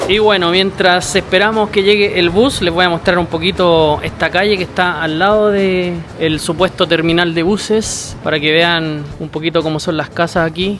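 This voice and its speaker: A man talks at a moderate pace with hardly any pauses, using a high pitch and fairly even intonation. Noticeable background noise sits behind him. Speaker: travel vlogger. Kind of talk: travel vlog narration.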